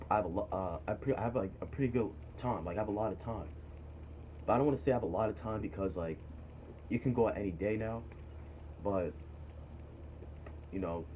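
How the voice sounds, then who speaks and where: A man with an American accent speaks very fast at a fairly low pitch, with ordinary pitch variation. He leaves long, frequent pauses. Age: 20s. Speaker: vlogger giving career advice. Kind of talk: casual monologue vlog. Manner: animated, emphatic.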